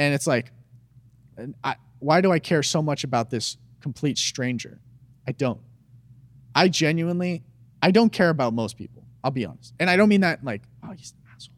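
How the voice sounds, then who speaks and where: In a very clean recording with a silent background, a man with an American accent talks at a fairly quick pace in a fairly high pitch. His intonation is lively, his loudness swings widely, and he leaves long, frequent pauses. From Arizona. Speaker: YouTuber. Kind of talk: casual chat.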